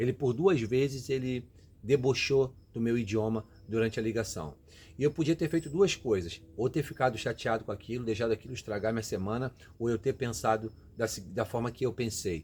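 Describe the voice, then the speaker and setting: At a fairly quick pace, a man talks in a somewhat breathy voice of medium pitch with ordinary pitch variation. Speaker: immigrant career vlogger. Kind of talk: motivational talk. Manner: casual, conversational; halting, repeats words.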